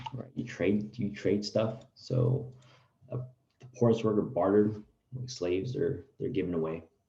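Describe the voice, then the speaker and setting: Somewhat breathy and dark, mellow in tone, a man speaks at a fairly low pitch with ordinary pitch variation. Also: moderate pace. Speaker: teacher. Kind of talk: online class lecture.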